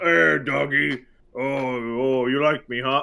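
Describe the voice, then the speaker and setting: In a gruff, put-on character voice, a man speaks at a medium pitch and a fairly slow pace. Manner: friendly, cooing at a dog.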